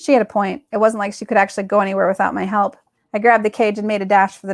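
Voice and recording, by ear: The background is silent. A natural voice reads the text aloud.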